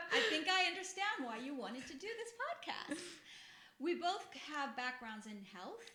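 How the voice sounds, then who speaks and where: A woman speaks in a raised, projected voice at an extremely high pitch and moderate pace, with very wide pitch swings and big swings in loudness. Noticeable background noise and audible room echo fill the recording. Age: 50s. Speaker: podcast co-host, health background. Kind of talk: casual chat.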